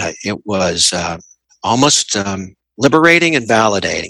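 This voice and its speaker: Dry and close with no echo, the voice carries a Southern US accent and a bright, sharp tone at a moderate pace. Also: man. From Tennessee. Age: 50s. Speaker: interviewee sharing personal story. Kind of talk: interview. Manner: reflective, measured; hesitant with repetitions.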